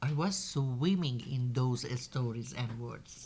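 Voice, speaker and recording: A woman with a Persian accent talks at a fairly slow pace in a somewhat breathy voice, recorded very cleanly against a silent background. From southern Iran, Bushehr coast. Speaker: novelist. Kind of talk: panel discussion.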